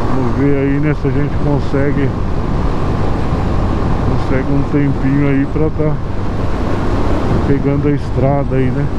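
The speech moves at a fairly slow pace, with loud background noise. The sound is dry, with no echo. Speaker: motorcycle rider vlogger. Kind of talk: casual vlog chat. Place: motorbike. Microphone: helmet.

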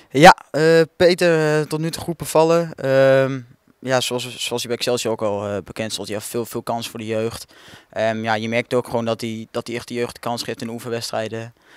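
With ordinary pitch variation, a man's voice holds at a medium pitch. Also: moderate pace. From Netherlands, Kampen (Overijssel). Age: young (18). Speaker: young football player. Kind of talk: interview. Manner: halting, many fillers and repetitions.

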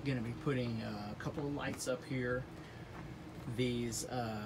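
The man speaks at a very slow pace. Background noise is noticeable. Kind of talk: casual DIY vlog walkthrough. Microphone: phone near.

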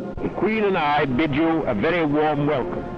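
A man speaks with a dry sound and no echo. Clear music plays in the background. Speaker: army general. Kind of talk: formal speech read aloud. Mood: warm, formal. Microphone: old recording.

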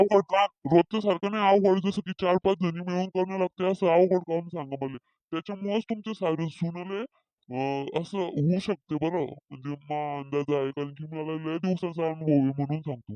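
A man in a high, cartoonish character voice at a moderate pace. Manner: confident, chatty, rambling.

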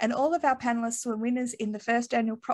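With an Australian accent, a woman talks at a fairly high pitch with fairly even intonation over a quiet background. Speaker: industry association founder, panel moderator. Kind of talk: webinar panel moderation. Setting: video call. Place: home room. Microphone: earbuds.

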